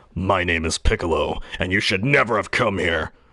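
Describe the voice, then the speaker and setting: Against a quiet background, a man uses a put-on character voice with a very deep, low pitch. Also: moderate pace. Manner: menacing.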